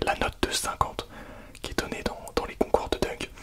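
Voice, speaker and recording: A man whispers over noticeable background noise. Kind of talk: casual talk to camera. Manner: relaxed, conversational, enthusiastic.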